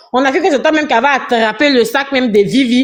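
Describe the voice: A woman speaks at a fairly quick pace. Her fairly high voice shows ordinary pitch variation.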